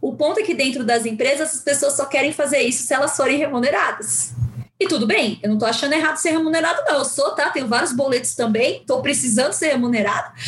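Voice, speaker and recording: Very fast pace, very even loudness and ordinary pitch variation, with noticeable background noise. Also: woman, high pitch for a woman. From Brazil, São Paulo (Guarulhos periphery). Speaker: psychologist. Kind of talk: casual interview.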